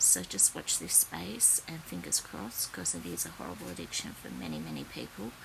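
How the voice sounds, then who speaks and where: A woman with an Australian accent and a very deep, low pitch, at a fairly quick pace with hardly any pauses and ordinary pitch variation. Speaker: psychic content creator. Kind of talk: spiritual predictions monologue. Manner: hesitant, many fillers.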